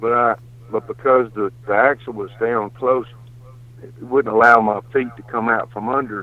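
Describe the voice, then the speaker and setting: Here a man speaks with a Mississippi accent at a moderate pace. His intonation is monotone and flat. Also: medium pitch for a man. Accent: Southern US (Mississippi). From US South, Mississippi. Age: 60s. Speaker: hunter. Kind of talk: storytelling.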